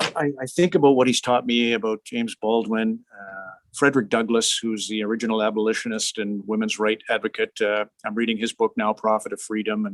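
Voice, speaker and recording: The speech moves at a fairly quick pace with hardly any pauses and fairly even intonation, the sound dry and close with no echo. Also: man, medium pitch for a man. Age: 60s. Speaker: hockey broadcaster. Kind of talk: interview. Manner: halting.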